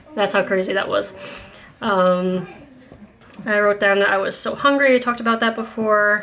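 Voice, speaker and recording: A woman speaks at medium pitch with fairly even intonation. She leaves long, frequent pauses while music plays in the background. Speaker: mom vlogger. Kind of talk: casual vlog monologue. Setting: at home with kids. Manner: fast.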